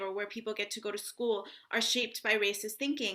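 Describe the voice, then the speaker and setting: With an American accent, a woman talks fairly quickly in a bright, sharp tone at a fairly high pitch. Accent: sounds very American. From international upbringing in Africa and Europe (Ghana, Tanzania, Italy, Ethiopia, Uganda). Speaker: author. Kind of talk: author talk and Q&A. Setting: library event with audience Q&A.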